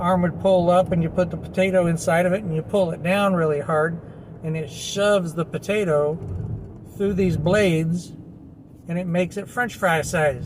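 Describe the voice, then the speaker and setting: This man's voice sits high in pitch and his intonation is fairly even. He speaks at a moderate pace. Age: 60s. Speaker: reverend and hypnotherapist giving self-help talk. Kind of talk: casual self-help monologue. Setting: handheld video recording. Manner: rambling with repetitions.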